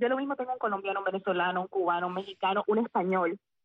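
Very fast speech from a woman, with ordinary pitch variation. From central Cuba (Sagua la Grande). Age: 40s. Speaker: former radio announcer turned teacher. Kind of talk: interview.

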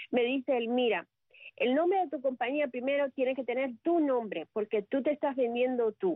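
A woman speaks at a high pitch and a moderate pace. Her loudness stays very even, with ordinary pitch variation. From Cuba, Sagua la Grande. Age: 50s. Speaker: communicator and public relations professional. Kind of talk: radio interview. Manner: talkative.

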